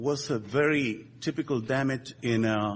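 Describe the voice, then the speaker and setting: A man talks with a Spanish accent. His pitch variation is ordinary. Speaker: structural engineer. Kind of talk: conference presentation. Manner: halting, many fillers.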